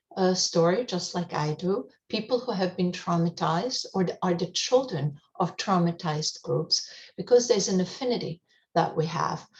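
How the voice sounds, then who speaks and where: A woman speaks at a moderate pace and a fairly low pitch. Her voice is somewhat breathy, with ordinary pitch variation. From Europe, German-speaking. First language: German. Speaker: hospice outreach coordinator. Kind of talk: radio interview. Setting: radio show. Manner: frequent fillers, hesitant.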